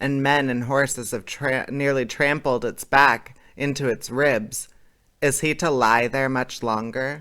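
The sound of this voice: The clip carries an unforced reading voice. Nothing else stands out.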